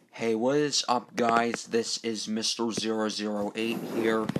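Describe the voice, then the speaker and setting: Noticeable background noise sits under a man speaking at a fairly slow pace. His pitch is medium and his intonation monotone and flat. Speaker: gaming YouTuber. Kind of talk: let's play commentary. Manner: casual with filler ums.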